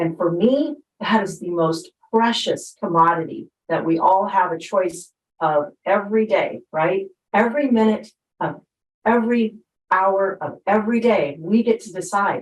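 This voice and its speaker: A woman with a normal speaking voice talks at a fairly slow pace. Her pitch is medium, with ordinary pitch variation. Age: 60s. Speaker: network marketing distributor. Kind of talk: panel testimony.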